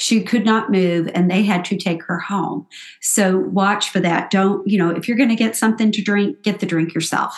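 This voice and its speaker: A woman of medium pitch speaks at a moderate pace in a somewhat breathy voice with fairly even intonation. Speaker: podcast co-host. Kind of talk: casual chat.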